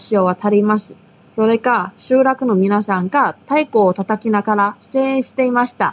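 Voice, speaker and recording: A woman with an ordinary speaking voice talks at a fairly slow pace, her fairly high pitch varying in an ordinary way. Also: very clean recording, silent background. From Taiwan. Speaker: language teacher, podcast co-host. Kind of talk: language lesson.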